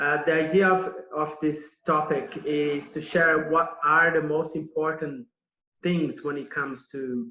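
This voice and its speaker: Very slow speech comes from a man with a Brazilian accent. His voice has a fairly high pitch and a bright, sharp tone. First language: Portuguese. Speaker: nutrition consultant. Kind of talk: online summit presentation. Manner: hesitant, many fillers and repetitions.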